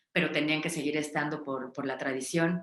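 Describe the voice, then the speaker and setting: Audible room echo surrounds a woman speaking with a very deep, low pitch and fairly even intonation. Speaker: psychologist and narrative practices facilitator. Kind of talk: online workshop talk. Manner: fast; hesitant, many fillers.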